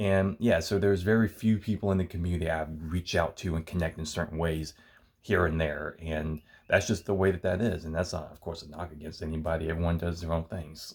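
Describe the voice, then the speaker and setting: At a fairly quick pace, a man talks with a very deep, low pitch and fairly even intonation. The recording is very clean, with a silent background. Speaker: YouTuber. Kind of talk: casual monologue. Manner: halting; low-key.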